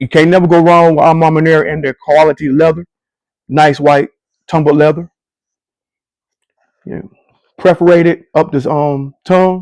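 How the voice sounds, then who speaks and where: A man with a fairly high pitch speaks at a moderate pace in an animated tone, with long, frequent pauses. The sound is dry and close, with no echo. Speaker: sneaker reviewer. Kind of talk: live product review. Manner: casual, animated.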